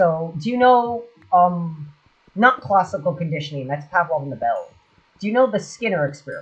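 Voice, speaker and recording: A mumbled delivery moving at a fairly quick pace. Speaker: gaming streamer. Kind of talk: casual chat. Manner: fast, mumbling.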